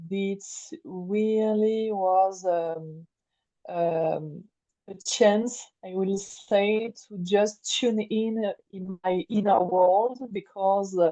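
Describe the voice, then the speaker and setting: In a French accent, a woman speaks at a very slow pace with a dark, mellow tone, fairly even intonation and big swings in loudness. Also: medium pitch for a woman. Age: 40s. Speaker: creative life coach. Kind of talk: interview. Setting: remote call. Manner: halting, many hesitations and repeats.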